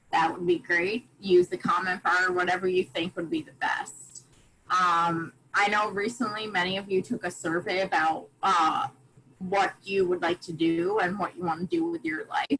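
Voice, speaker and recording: A woman speaks in a normal speaking voice with an American accent. Her pitch is medium and her intonation fairly even. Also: moderate pace. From USA. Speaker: volunteer speaker. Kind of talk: online presentation to students. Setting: video call.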